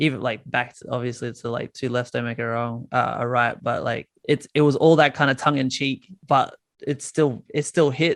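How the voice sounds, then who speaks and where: With an Australian accent, a man at a medium pitch talks at a moderate pace with hardly any pauses and fairly even intonation, in a dry, close sound with no echo. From Australia, north Queensland. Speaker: musician. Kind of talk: casual interview. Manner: halting.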